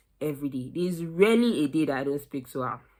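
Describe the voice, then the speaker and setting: The voice is a woman's. The recording is very clean, with a silent background. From Nigeria. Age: 20s. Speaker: recent university graduate. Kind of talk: casual talk to camera.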